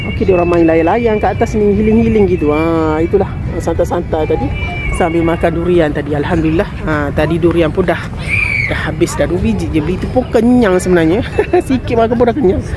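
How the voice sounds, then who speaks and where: Over crowd noise in the background, a woman talks at a fairly quick pace, the sound dry with no echo. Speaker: vlogger. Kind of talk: casual vlog chat. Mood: relaxed, cheerful. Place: open country. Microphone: phone near.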